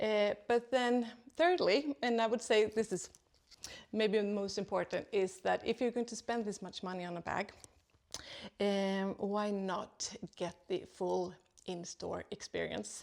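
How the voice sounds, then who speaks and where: A woman with a non-native accent at a fairly slow pace. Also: medium pitch for a woman, ordinary pitch variation. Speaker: second-hand luxury video host. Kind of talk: tutorial. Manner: hesitant, many fillers.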